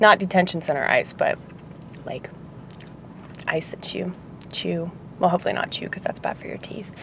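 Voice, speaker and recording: Noticeable noise sits in the background. Over it, a woman speaks at a moderate speed. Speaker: restaurant worker. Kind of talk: casual talk to camera, vlog. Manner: rambling, sarcastic, opinionated.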